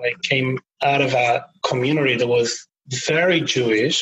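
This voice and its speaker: A man talks with an Argentine accent. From Buenos Aires, Argentina. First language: Spanish. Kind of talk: podcast interview.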